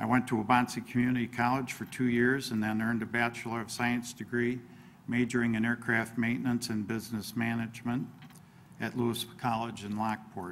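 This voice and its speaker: A man with a medium pitch and an American accent talks at a fairly quick pace in a monotone, flat delivery. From northern Illinois, US. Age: 60s. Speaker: political candidate. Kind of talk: candidate forum opening statement.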